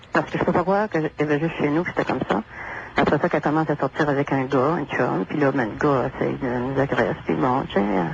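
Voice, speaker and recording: A woman with a very deep, low pitch talks at a very fast pace with lively intonation and very even loudness. Noticeable background noise is present. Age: 60s. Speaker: caller. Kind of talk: call-in radio conversation.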